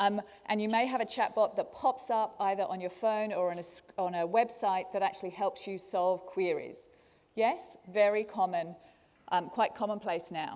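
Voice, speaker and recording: A woman speaks with a slight Australian accent. Her pace is moderate. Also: medium pitch for a woman, ordinary pitch variation. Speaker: learning technology speaker. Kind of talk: conference talk. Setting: stage with audience.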